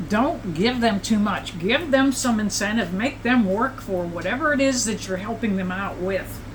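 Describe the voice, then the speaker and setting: Amid noticeable background noise and audible room echo, a woman speaks with lively intonation. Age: 70s. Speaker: psychic tarot reader. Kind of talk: tarot reading livestream. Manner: casual, conversational.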